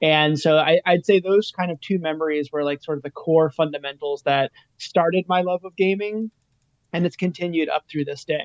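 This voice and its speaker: A man speaks in a normal speaking voice at a fairly high pitch. His pace is moderate. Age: 40s. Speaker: retro arcade business guest. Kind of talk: casual chat. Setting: live stream.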